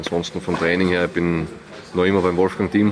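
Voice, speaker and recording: A man talks at a very fast pace in a very deep, low pitch with monotone, flat intonation, over noticeable background noise. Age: 20s. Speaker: professional tennis player. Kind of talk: interview.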